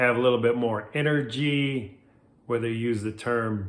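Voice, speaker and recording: A man's medium-pitched voice at a moderate pace, with ordinary pitch variation and audible room echo. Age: 60s. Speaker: life coach. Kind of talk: motivational talk to camera. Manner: casual, conversational.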